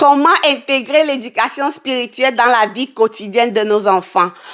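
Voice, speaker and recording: A woman's fairly high voice at a fairly slow pace, hardly any pauses, ordinary pitch variation and big swings in loudness. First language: English (speaking French). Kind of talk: teaching monologue. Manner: hesitant.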